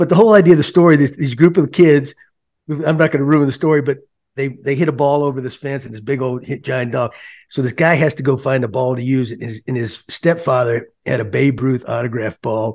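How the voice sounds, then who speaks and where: A man's normal speaking voice with an American accent, fairly high in pitch, fairly quick, with ordinary pitch variation and big swings in loudness. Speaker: former baseball manager, podcast host. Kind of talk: casual chat.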